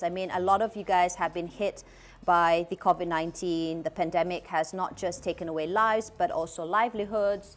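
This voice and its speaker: Music is heard in the background. A woman speaks at a moderate pace and a medium pitch. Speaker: cooking demo host. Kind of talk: cooking demonstration livestream.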